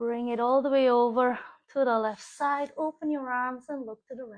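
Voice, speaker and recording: Against a quiet background, a woman with a high pitch speaks in a calm tone at a moderate pace. Her intonation is monotone and flat, with big swings in loudness. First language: German. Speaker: yoga teacher. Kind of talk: guided yoga class. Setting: live stream.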